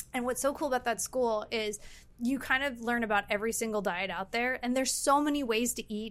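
A woman speaks in an American accent with a high pitch. Her pitch varies in an ordinary way. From Los Angeles, US. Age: 30s. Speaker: healthy lifestyle specialist. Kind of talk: casual chat. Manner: animated.

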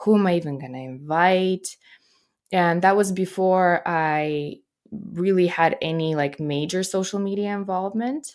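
On a very clean recording with a silent background, a woman speaks in a medium pitch at a fairly slow pace with ordinary pitch variation. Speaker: comedian and podcaster. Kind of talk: casual interview chat. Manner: animated, motivational.

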